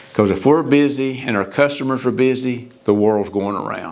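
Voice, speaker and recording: A man speaks at a moderate pace. Audible room echo surrounds his voice. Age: 70s. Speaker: retiring sales coordinator at machinery dealer. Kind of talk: interview reflection.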